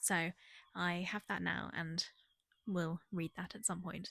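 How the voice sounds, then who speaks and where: Speaking with a British accent, a woman keeps a medium pitch and fairly even intonation, recorded very cleanly against a silent background with a dry, close sound and no echo. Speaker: book vlogger. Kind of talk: casual vlog. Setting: holiday rental house. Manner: hesitant, many fillers; whispering.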